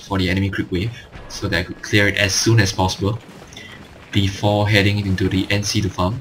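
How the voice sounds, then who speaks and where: A man talks at a fairly quick clip in a fairly low voice. His intonation stays fairly even over noticeable background noise. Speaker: gaming commentator. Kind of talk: gameplay commentary tutorial. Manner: monotone.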